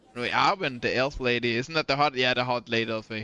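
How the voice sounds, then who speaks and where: A man with a Danish accent speaks at a fairly quick pace in a bright, sharp tone at medium pitch. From Denmark. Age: adult. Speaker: video game streamer. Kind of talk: casual live-stream chat.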